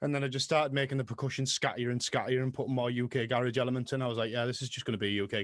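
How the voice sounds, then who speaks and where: A man speaks at a very fast pace with a strong Middlesbrough accent. His intonation is flat and monotone. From northern England, Middlesbrough. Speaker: music producer and DJ. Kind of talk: interview. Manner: casual.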